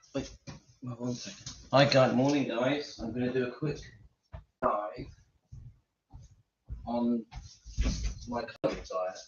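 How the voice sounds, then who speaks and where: Quiet and fairly slow, a man with an English accent talks at a medium pitch with fairly even intonation and long, frequent pauses. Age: 50s. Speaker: YouTuber sharing diet experience. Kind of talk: casual vlog talk. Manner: speaking quietly.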